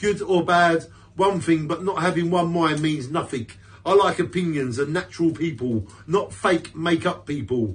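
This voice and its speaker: A man with a British accent speaks at a high pitch with ordinary pitch variation and a moderate pace. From UK. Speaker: poet. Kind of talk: poetry reading, spoken word. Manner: defiant, punchy and emphatic; earnest, declamatory with repeated stresses. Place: home room. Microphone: phone near.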